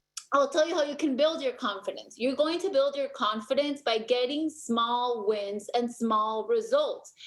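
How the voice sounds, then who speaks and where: With a non-native accent, a woman talks at a moderate pace in a high voice with lively intonation. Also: hardly any pauses. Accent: non-native accent, still present. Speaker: MLM team leader. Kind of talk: motivational team call. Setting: video call. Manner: animated.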